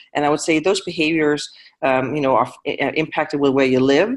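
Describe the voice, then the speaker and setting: A woman talks very fast with a slight Danish accent. Her pitch is very deep and low. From Denmark. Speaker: panel moderator. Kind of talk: panel discussion. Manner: hesitant, many fillers.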